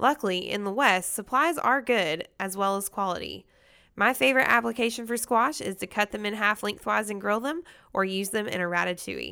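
On a very clean recording with a silent background, a woman in a Southern US accent talks at a fairly quick pace with a bright, sharp tone and lively intonation. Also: medium pitch for a woman. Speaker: podcast host. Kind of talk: scripted news and market report reading, then interview.

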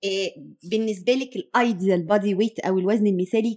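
A woman talks at a fairly quick pace with a dark, mellow tone. Her intonation stays fairly even. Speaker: podcast host, nutrition specialist. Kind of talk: interview.

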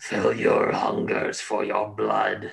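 A man bellows in a raspy, put-on character voice. The rasp carries through the whole bellowing act.

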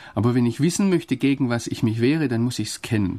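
The audio is very clean, with total silence behind the voice. A man talks in a dark, mellow tone, his pitch varying in an ordinary way. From Swabia, southern Germany. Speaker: foreign correspondent and theologian. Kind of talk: radio interview. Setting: studio.

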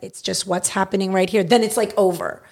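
Here is a woman with a Californian accent. Her tone is animated. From US West Coast, Los Angeles San Fernando Valley. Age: 30s. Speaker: improviser and court reporter. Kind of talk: casual chat.

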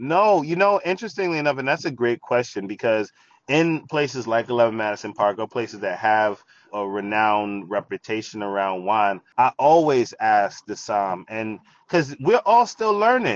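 At a moderate pace, a man with a New York accent talks at a medium pitch with lively intonation. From New York, the Bronx. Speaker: wine expert and TV presenter. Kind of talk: casual interview.

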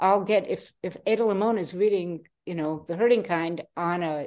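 A woman with an unremarkable speaking voice talks at a fairly low pitch in an American accent. She uses ordinary pitch variation against a quiet background. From Queens, New York. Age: 60s. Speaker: poet and author. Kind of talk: interview.

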